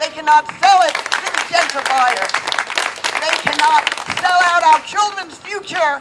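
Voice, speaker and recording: Crowd noise fills the background. The speaker has an animated tone and a fairly slow pace. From New York, Brooklyn. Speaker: political activist. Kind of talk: rally speech. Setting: outdoors.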